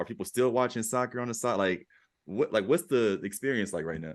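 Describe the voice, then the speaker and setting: Against a quiet background, a man with an American accent talks at a very fast pace, his medium pitch moving in lively intonation. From Cincinnati, US. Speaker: podcast host. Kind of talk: interview. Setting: walking outdoors. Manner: casual.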